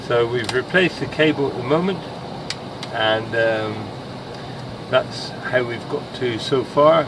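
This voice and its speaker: A man in a British accent speaks at a very slow pace and a fairly high pitch, with noticeable background noise. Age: 60s. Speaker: master mariner. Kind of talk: casual explanation to camera.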